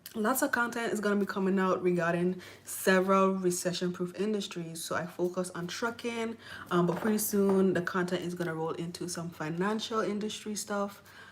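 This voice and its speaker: A woman with a Virgin Islands accent speaks at a fairly quick pace with a medium pitch. Her intonation is fairly even, and there is noticeable background noise. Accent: Virgin Islands Caribbean. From US Virgin Islands, Saint Thomas. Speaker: truck driver and YouTuber. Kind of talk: live stream Q&A. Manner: casual, filler-heavy.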